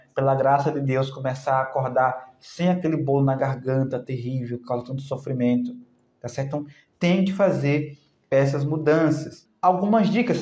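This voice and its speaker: A man speaks at a moderate pace in an animated, somewhat breathy tone with ordinary pitch variation, and audible room echo surrounds him. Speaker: naturopath health educator. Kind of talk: live stream talk answering comments. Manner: animated, conversational.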